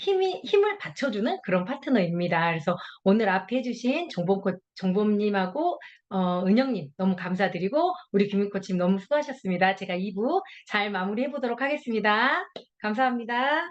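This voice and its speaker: Her intonation is lively, her pitch medium for a woman. She keeps a moderate pace. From Jeolla, South Korea. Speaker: health product distributor. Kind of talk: testimony.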